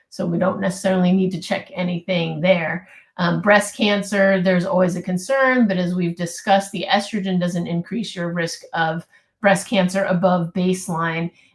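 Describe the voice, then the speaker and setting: A somewhat breathy woman's voice with fairly even intonation. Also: medium pitch for a woman, moderate pace. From US West Coast, California Bay Area. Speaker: physician. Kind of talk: live webinar Q&A answers.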